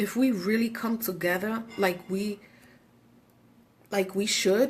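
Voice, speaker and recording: A woman speaks in an animated tone. Her voice is somewhat breathy. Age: 40s. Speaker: radio show host. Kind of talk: casual talk show monologue.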